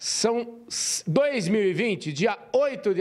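Against a quiet background, a man talks at a high pitch in an animated tone. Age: 50s. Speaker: interviewer. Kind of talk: interview. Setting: in-person interview. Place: home room. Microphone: handheld.

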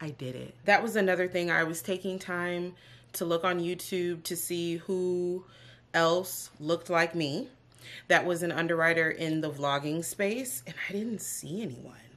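Fairly slow delivery with ordinary pitch variation. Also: woman, fairly low pitch for a woman. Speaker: vlogger. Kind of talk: casual vlog chat. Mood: proud, excited. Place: home room. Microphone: camera far.

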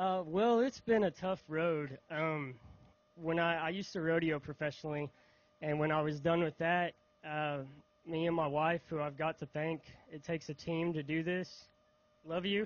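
A man with a Southern US accent and fairly high pitch speaks at a moderate pace with fairly even intonation and long, frequent pauses, in a dry sound with no echo. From Mississippi. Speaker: bass angler. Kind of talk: stage interview. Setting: outdoor stage with audience. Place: stage. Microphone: handheld.

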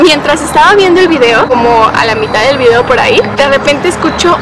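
A woman at a very fast pace over loud background noise. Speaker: youtuber. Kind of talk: casual talk to camera, vlog-style storytelling. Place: forest.

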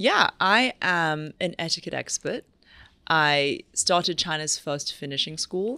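With an English accent, a woman speaks at a fairly slow pace in a fairly low pitch, her tone bright and sharp and the sound dry with no echo. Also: ordinary pitch variation. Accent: English-sounding, proper. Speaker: etiquette coach; guest etiquette coach. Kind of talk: casual chat. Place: studio. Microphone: studio mic.

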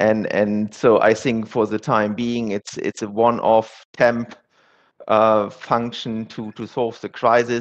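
A man's medium-pitched voice with a German accent, monotone and flat at a very slow pace, over a quiet background. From Germany. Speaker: asset manager; panellist. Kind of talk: panel discussion. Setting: virtual conference. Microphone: headset.

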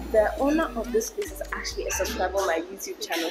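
A woman talks with clear music in the background. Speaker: food vlogger host. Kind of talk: casual vlog chat. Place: cafe. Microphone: lapel.

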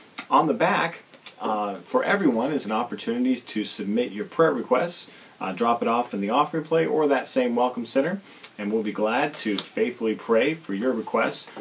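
A man speaks at a moderate pace with lively intonation. Light background noise sits behind him. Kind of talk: church announcements video. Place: home room.

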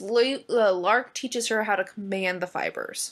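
Someone reads aloud in a natural voice, pitch moving in an ordinary range.

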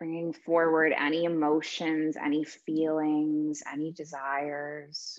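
A soft-spoken woman's very deep, low voice, calm and soothing in tone, very slow and monotone, flat in intonation, against a quiet background. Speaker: meditation and yoga teacher. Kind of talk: guided meditation. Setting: virtual class. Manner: slow, calm, soothing; soft-spoken, with long pauses. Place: home room. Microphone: earbuds.

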